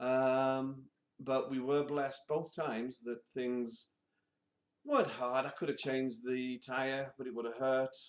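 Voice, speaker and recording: In a British accent, the speaker goes at a fairly slow pace with monotone, flat intonation. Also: man, medium pitch for a man. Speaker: vlogger. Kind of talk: personal vlog monologue.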